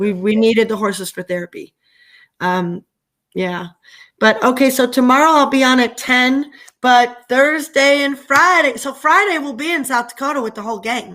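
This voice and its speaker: A loud voice with lively intonation at a moderate pace, on a very clean recording with a silent background. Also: woman. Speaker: livestreamer. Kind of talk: casual chat. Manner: animated.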